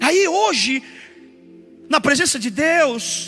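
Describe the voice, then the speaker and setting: The speaker's lively intonation comes through over noticeable background noise. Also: man. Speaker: pastor. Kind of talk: sermon. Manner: emphatic, repetitive preaching.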